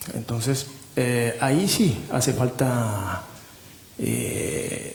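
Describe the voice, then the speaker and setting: Amid audible room echo and noticeable background noise, a man with a medium pitch talks at a very slow pace. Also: ordinary pitch variation. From Japan. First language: Japanese (speaking Spanish). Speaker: literary translator. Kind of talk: panel discussion. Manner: halting.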